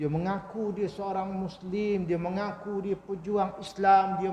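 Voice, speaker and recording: A soft-spoken man with a high pitch talks at a fairly slow pace, with audible room echo. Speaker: Islamic preacher. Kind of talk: religious lecture.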